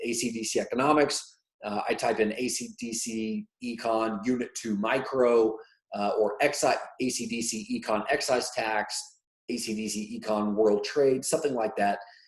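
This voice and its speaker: A man with an ordinary speaking voice at a medium pitch, with ordinary pitch variation. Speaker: economics teacher. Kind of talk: tutorial.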